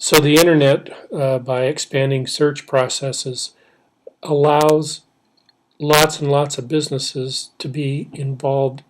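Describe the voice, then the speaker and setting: A man's voice comes through somewhat breathy and fairly high in pitch. His intonation stays monotone and flat. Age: 60s. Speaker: professor. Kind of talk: lecture. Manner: halting.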